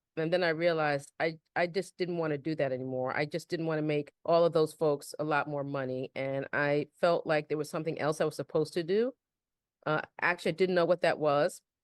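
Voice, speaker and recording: With a Bronx accent, a woman speaks fairly quickly in a very deep, low voice with fairly even intonation. The sound is dry and close with no echo, over a quiet background. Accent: Bronx New York flavor. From New York, the Bronx. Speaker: real estate developer. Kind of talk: podcast interview.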